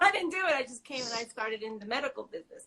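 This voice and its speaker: A woman's bright, sharp voice in an American accent, with lively intonation. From New York. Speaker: small business owner. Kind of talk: interview. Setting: live video stream.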